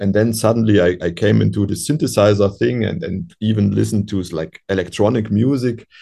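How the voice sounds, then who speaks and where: A man talks at a fairly quick clip with hardly any pauses, his pitch fairly low and his tone dark and mellow. There is vocal fry, and his pitch varies in an ordinary way. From Europe. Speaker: musician. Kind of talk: interview. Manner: halting.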